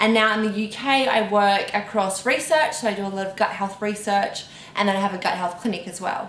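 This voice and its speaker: With a strong Australian accent, a woman talks at a fairly quick pace in a medium pitch, amid noticeable background noise and audible room echo. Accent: broad Australian. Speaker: dietitian and gut health researcher. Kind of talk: casual interview Q&A.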